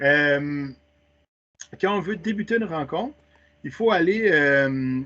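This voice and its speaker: Lively intonation carries a man's fairly high-pitched voice. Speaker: teacher trainer. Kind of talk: webinar tutorial. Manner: fast.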